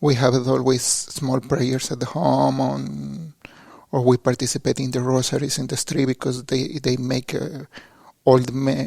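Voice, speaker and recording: A man with a Mexican accent talks at a fairly slow pace, his medium-pitched voice following a fairly even intonation. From Mexico, suburb of Mexico City. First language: Spanish. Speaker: seminarian. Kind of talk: interview. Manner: halting.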